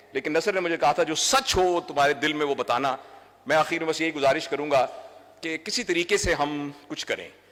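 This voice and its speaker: Fairly high male speech, moderately paced, over noticeable background noise and with ordinary pitch variation. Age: 60s. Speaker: doctor and trainer. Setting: stage with audience.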